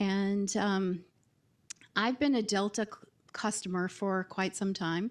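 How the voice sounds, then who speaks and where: A woman with a slight Southern US accent speaks at a very slow pace, with long, frequent pauses. Her intonation stays fairly even. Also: medium pitch for a woman. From US South. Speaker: marketing executive. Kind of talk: panel discussion. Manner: hesitant, many filler words.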